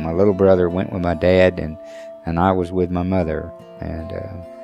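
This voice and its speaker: With an Oklahoma accent and a very deep, low pitch, a man speaks as music plays in the background. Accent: Oklahoma American. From Shawnee, Oklahoma. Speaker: Sac and Fox elder. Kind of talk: personal testimony interview.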